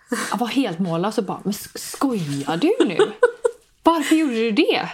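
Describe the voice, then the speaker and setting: A woman's voice with very wide pitch swings. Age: 20s. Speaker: podcast host. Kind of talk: casual chat.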